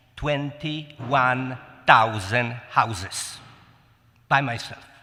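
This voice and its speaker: A man with a Polish accent, medium pitch, very slow pace and ordinary pitch variation, with audible room echo. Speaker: city council candidate. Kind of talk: candidate forum speech.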